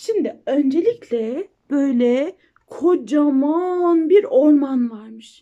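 A woman talks slowly at a high pitch in a dark, mellow tone. Her intonation is lively.

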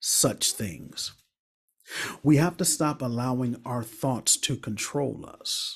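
A man's somewhat breathy, medium-pitched voice at a very slow pace against a quiet background. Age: 40s. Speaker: relationship coach and speaker. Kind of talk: motivational talk. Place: home room. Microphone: studio mic.

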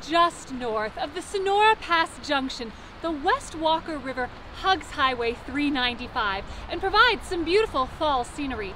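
Raising and projecting her voice, a woman speaks at a moderate pace, the sound dry with no echo and light background noise behind it. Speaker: travel vlogger. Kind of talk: travel vlog presentation. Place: open country.

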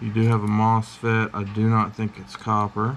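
A man speaks in a monotone with flat intonation and a fairly low pitch. His pace is moderate, with light noise in the background. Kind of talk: casual tutorial commentary. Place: workshop. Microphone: camera far.

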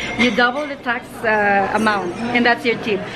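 Loud background noise sits behind a woman speaking at a moderate pace. Her pitch variation is ordinary. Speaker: travel vlogger. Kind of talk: casual vlog chat. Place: shop. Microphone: phone near.

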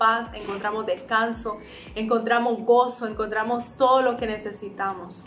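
Using a plain, everyday voice, a woman with a fairly high pitch speaks at a moderate pace with fairly even intonation over light background noise. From Honduras. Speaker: singer, voice-over announcer. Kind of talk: spoken prayer. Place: home room. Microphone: phone near.

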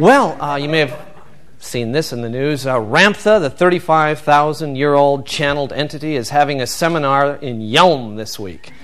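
Fairly slow speech from a man, noticeable noise in the background. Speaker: stand-up comedian. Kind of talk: comedy monologue. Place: stage.

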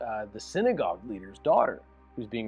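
A man's voice with faint music in the background. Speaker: pastor. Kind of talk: sermon-style bible teaching. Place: office. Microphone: lapel.

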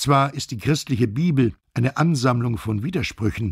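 A man speaks at medium pitch with ordinary pitch variation and a somewhat breathy voice. His pace is fairly slow, and the sound is dry and close with no echo. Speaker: voice actor. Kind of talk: audiobook narration.

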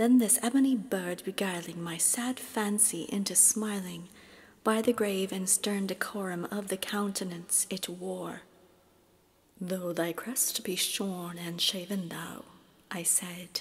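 Soft-spoken and calm, a woman talks at a very slow pace with medium pitch and fairly even intonation. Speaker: classical soprano, reiki practitioner. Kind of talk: poetry reading. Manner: soft-spoken, calm.

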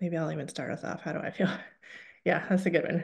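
A woman speaks at a fairly low pitch in a monotone, flat intonation against a quiet background. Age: 40s. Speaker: health communication director, webinar trainer. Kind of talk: webinar training presentation. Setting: online webinar. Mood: friendly, upbeat. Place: home room. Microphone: webcam.

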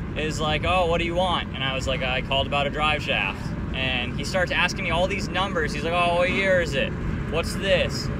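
In a dry sound with no echo, a man speaks at a fairly quick pace against loud background noise. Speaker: car channel vlogger. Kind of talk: casual vlog chat. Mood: annoyed, amused storytelling.

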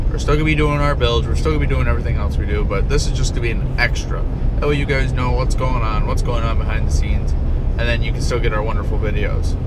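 A man talking very fast with hardly any pauses, dry sound without echo, and loud background noise. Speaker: channel host. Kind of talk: casual vlog chat. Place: car. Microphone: phone near.

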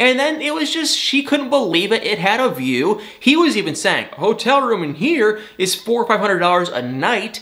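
A man's high, raised, projected voice with an American accent, animated in tone, at a moderate pace with hardly any pauses and very wide pitch swings. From Michigan, US. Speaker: celebrity gossip YouTuber. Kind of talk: casual TV recap vlog. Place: home room.

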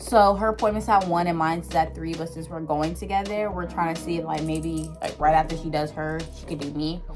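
Clear music plays behind a woman talking at a fairly quick pace. Her loudness swings widely, and she hardly pauses. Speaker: vlogger. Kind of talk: casual vlog chat. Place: home room. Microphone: phone near.

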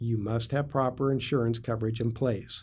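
This man's voice has a dark, mellow tone and sounds somewhat breathy. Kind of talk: informational vlog talk.

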